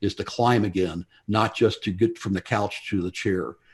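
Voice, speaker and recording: A man with a normal speaking voice talks at a fairly quick pace with ordinary pitch variation against a quiet background. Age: 60s. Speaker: mountain climber and Alzheimer's advocate. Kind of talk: talk to a club audience with slides.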